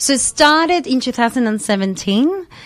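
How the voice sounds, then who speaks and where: A woman talks with very wide pitch swings. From Argentina, then Adelaide, Australia from age 10. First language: Spanish. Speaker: dance teacher and entrepreneur. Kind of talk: radio interview. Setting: radio studio.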